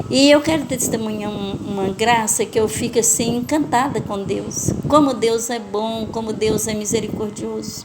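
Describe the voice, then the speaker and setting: Noticeable background noise sits under a woman's fairly high-pitched voice. She speaks with hardly any pauses and ordinary pitch variation. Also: fairly slow pace. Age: 60s. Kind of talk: testimony.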